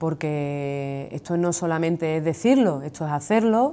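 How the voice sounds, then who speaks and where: Dark, mellow tone, in a very clean recording over a silent background. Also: woman. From Andalusia, Seville. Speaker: trade union leader. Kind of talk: TV interview.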